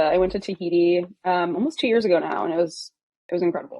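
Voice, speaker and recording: A woman talks at a very fast pace. Her pitch sits fairly low. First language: German. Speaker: product localization manager. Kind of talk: interview. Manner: casual, hesitant with fillers.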